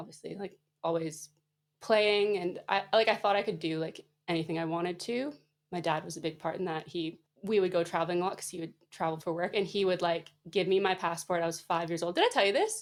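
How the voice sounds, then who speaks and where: With a Canadian accent, a woman speaks in a normal speaking voice at a fairly low pitch and with fairly even intonation. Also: fairly quick pace. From Canada. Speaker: physiotherapist and entrepreneur. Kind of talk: podcast interview.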